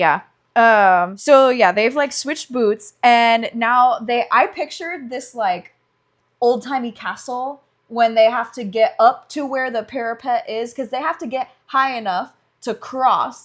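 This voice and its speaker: Speaking at a fairly slow pace, a woman with a high pitch and ordinary pitch variation has an animated tone and big swings in loudness, on a very clean recording with a silent background. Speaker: podcast co-host, medical student. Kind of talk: casual chat.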